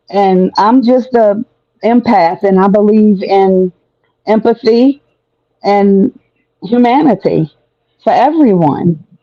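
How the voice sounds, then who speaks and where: The pace is very slow. Long pauses come often. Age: 60s. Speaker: guest on live stream discussion. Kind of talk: heated debate. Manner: passionate.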